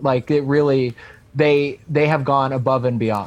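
An unremarkable speaking voice with an American accent. The pace is moderate. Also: man. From US Northeast, Long Island. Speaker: comedian. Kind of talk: casual chat.

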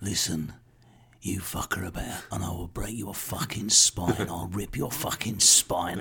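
A man puts on a character voice in an East London accent, very deep, low and gravelly. He speaks at a moderate pace. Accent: East End London. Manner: menacing.

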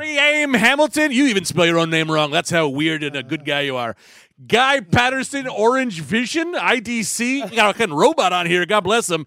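In a raised, projected voice with a bright, sharp tone, this speaker moves at a moderate pace through very wide pitch swings. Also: man, high pitch for a man. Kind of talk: casual chat.

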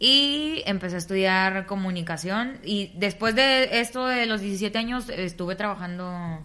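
Bright, sharp tone from a woman at a medium pitch. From Tamaulipas, northern Mexico. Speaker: radio announcer and comedian. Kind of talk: interview.

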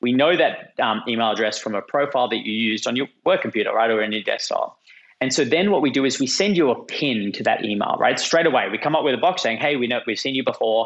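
A man with an Australian accent, a very fast pace and hardly any pauses. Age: 30s.

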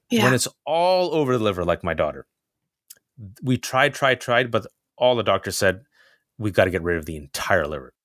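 Through long, frequent pauses, a man at medium pitch shows vocal fry and very wide pitch swings, in a dry, close sound with no echo. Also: fairly quick pace. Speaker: journalist and commentator. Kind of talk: casual interview.

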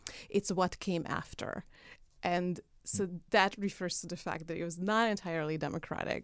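With a Hungarian accent, the speaker keeps a moderate pace and fairly even intonation. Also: woman, fairly low pitch for a woman. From Hungary. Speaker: political activist. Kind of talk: casual interview. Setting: studio.

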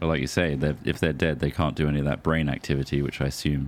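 A man's very deep, low voice, flat and monotone, with vocal fry. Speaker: podcast host. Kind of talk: casual comedy chat. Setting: home recording.

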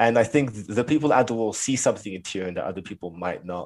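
A man with a London accent at a very fast pace, on a very clean recording with a silent background. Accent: London, Oxbridge-like British. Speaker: student guest. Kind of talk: casual chat.

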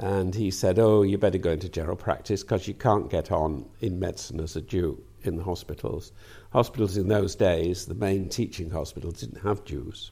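A man with a slight Lancashire accent, a very deep, low pitch and a dark, mellow, somewhat breathy tone, on a very clean recording with a silent background. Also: ordinary pitch variation, moderate pace. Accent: light Lancastrian lilt. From northern England, Manchester. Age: 80s+. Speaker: peer and retired professor of medicine. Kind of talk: interview.

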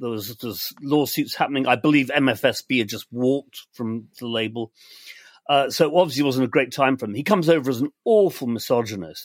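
Someone with an English accent speaks at a fairly quick pace with big swings in loudness. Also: man. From England. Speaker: podcast co-host. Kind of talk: casual chat. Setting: video call.

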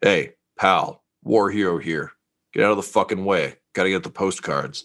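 Putting on a gruff character voice, a man speaks at a moderate pace with a fairly low pitch. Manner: brusque.

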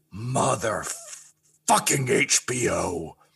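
Putting on a character voice, a man growls and rumbles at a medium pitch with lively intonation. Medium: actual play. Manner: muttering, grumbling.

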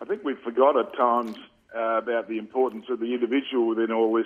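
With an Australian accent, a man talks at a fairly quick pace, his medium pitch showing ordinary variation. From Western Australia, Perth (Subiaco). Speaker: former Australian rules footballer and coach. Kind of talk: radio interview.

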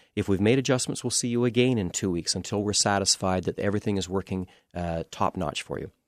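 A man with an unremarkable speaking voice talks at a fairly low pitch, fairly quickly, with ordinary pitch variation. The sound is dry and close with no echo, and the background is quiet. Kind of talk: expert interview within a radio infomercial, explanatory sales talk. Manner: calm, conversational, reassuring and plain-spoken, with frequent 'uh' fillers.

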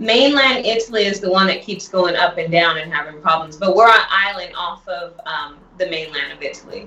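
The speaker talks at a fairly quick pace with ordinary pitch variation over noticeable background noise. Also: woman, medium pitch for a woman. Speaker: health product entrepreneur. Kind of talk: sales pitch. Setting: phone call.

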